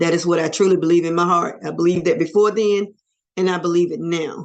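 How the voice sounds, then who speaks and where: A woman's fairly low voice with fairly even intonation, a plain, everyday voice. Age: 60s. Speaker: near-death experiencer. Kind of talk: interview testimony.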